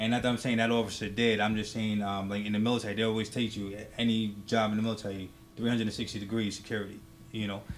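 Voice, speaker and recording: A man talks very fast in a fairly low, monotone, flat voice. Audible room echo surrounds him. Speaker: military veteran and law enforcement officer. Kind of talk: casual talk show discussion. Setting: studio. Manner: normally loud, holding it down.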